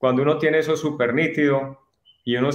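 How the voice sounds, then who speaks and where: The speaker talks at a moderate pace with fairly even intonation. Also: man. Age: 50s. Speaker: course student. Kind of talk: testimony. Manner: halting.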